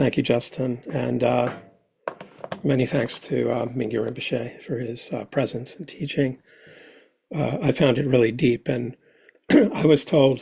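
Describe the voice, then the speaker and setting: A man puts on a character voice, raspy and hoarse at a medium pitch with fairly even intonation. He keeps a moderate pace broken by long, frequent pauses. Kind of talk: formal, thanking speakers.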